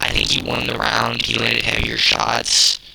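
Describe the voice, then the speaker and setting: Fairly slow whispering amid noticeable background noise. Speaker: MMA fan commentator. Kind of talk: casual fight breakdown. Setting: home apartment at night. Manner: hesitant, filler-heavy.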